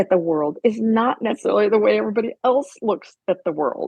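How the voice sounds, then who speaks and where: At a fairly quick pace, a woman with a medium pitch and lively intonation speaks in an ordinary speaking voice. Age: 60s. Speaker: professor and author. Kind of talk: interview conversation.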